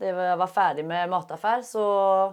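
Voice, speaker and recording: Speaking at a fairly slow pace, the woman has a medium pitch. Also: quiet background. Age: 30s. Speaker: UX design student. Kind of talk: interview answers. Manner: halting with many fillers.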